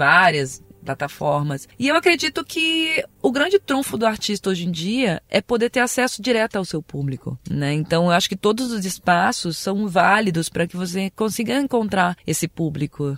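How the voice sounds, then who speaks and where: Over noticeable background noise, a woman with medium pitch speaks at a moderate pace with very wide pitch swings and hardly any pauses, the sound dry and close with no echo. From Brazil, Brasília. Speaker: singer. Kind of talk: interview. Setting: studio.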